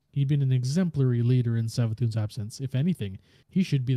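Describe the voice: The pitch shifts in an ordinary way. It is plain reading aloud.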